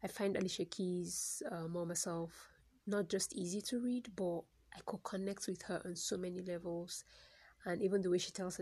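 Somewhat breathy, a woman's medium-pitched voice moves at a moderate pace with fairly even intonation. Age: 30s. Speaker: poet and new podcaster. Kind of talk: casual solo monologue, first podcast. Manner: hesitant, filler-heavy, reflective.

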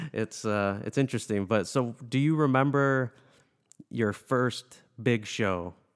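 A man with an ordinary speaking voice, medium in pitch with ordinary variation, very even in loudness and fairly slow, on a very clean recording with a silent background. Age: 30s. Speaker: podcast host and musician. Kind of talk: casual interview.

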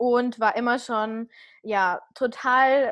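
The setting behind the speaker is quiet. Her voice, a woman's, sits high in pitch. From rural Germany, small village. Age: 30s. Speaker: podcaster and fitness coach. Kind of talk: casual interview.

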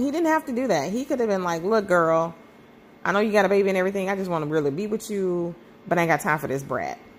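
With very wide pitch swings, a woman speaks at a medium pitch. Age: 40s. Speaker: podcast host. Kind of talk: personal monologue. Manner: halting.

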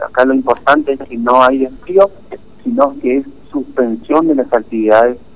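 There is noticeable background noise as a man speaks. He keeps a medium pitch and a moderate pace. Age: 30s. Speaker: mayor. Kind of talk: radio interview. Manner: halting.

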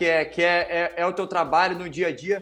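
Music plays behind a man talking at a moderate pace. His pitch is high. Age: 30s. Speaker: footballer and podcast host. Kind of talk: casual interview chat.

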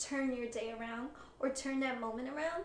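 Soft-spoken and high-pitched, a woman talks with fairly even intonation over noticeable background noise. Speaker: podcast host. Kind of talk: casual interview chat.

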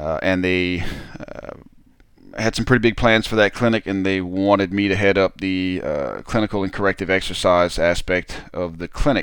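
A man's voice sits at a very deep, low pitch. He talks at a moderate pace. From Southern Louisiana. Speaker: health and rehabilitation practitioner, podcast host. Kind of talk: casual solo talk. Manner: animated; filler-heavy, hesitant.

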